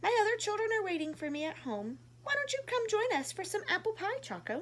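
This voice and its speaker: Over clear background noise, a squeaky, put-on character voice moves at a fairly quick pace. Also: woman, extremely high pitch for a woman. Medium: read story. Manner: gentle, kind.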